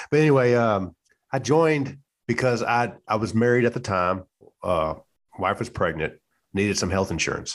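Speaking in a Louisiana accent at a moderate pace, a man with medium pitch uses lively intonation and long, frequent pauses against a quiet background. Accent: Southern US (Louisiana). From US South, central Louisiana. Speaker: retired Navy chief, podcaster. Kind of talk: casual chat.

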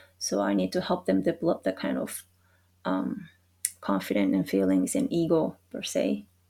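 A woman in a Japanese accent at a moderate pace. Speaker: sport psychology consultant. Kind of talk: casual interview chat. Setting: video call.

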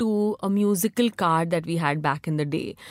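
Woman with an Indian accent and ordinary pitch variation in a very clean recording with a silent background and a dry, close sound with no echo. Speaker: magazine founder. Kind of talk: casual interview chat.

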